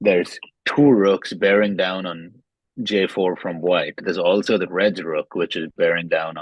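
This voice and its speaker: Very deep, low pitch from a man at a fairly slow pace, with fairly even intonation. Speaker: chess game commentator. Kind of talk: live commentary. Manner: quiet.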